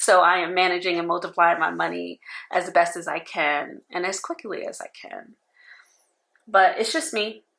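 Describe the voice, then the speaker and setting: Big swings in loudness mark this woman's speech, captured in a very clean recording with a silent background. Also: moderate pace. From New York. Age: 40s. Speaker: personal finance vlogger. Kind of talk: casual talk to camera.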